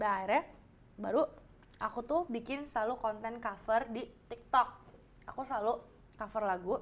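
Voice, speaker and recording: Speaking at a moderate pace with long, frequent pauses, a woman uses a fairly high pitch. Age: young. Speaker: singer. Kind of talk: casual chat. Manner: halting, searches for words.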